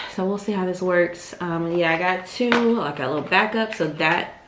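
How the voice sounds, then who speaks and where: Against noticeable background noise and audible room echo, a woman speaks at a fairly low pitch with ordinary pitch variation. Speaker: lifestyle vlogger. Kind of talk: casual vlog. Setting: at home. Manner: soft-spoken.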